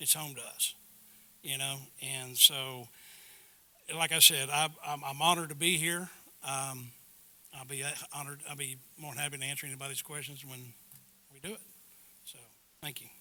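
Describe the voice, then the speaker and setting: A man with a Texan accent and fairly high pitch, at a moderate pace with long, frequent pauses and big swings in loudness. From Texas, River Plantation area (near Houston). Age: 60s. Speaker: board candidate, retired businessman. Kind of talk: candidate introduction speech at community meeting. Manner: halting, many fillers.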